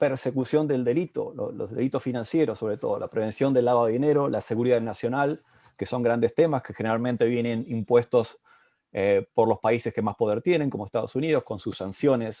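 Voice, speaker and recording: A man's dark, mellow tone at a fairly quick pace, dry and close with no echo, over a quiet background. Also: medium pitch for a man, ordinary pitch variation. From Argentina, Bolívar, Buenos Aires province. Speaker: panel moderator. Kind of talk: panel discussion. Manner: halting, many fillers.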